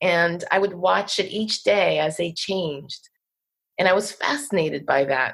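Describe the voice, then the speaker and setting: A woman with an American accent, lively intonation and a moderate pace. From New Jersey. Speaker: poet. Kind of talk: casual interview.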